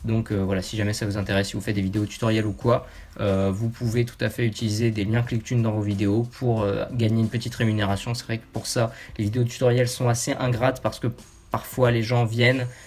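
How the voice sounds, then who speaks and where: Somewhat breathy and medium in pitch, a man talks at a fairly quick pace in a monotone, flat intonation. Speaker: YouTuber. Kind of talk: casual talk to camera.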